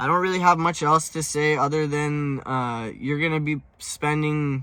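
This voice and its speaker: A man speaks at a moderate pace in a fairly high pitch. His tone is bright and sharp, with fairly even intonation. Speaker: car enthusiast youtuber. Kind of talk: casual tutorial monologue. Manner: hesitant, many filler words.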